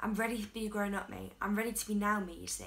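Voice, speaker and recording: A woman speaks at a moderate pace. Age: young. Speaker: singer-songwriter. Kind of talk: spoken word poetry reading. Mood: earnest, reflective. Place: home room. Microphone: phone near.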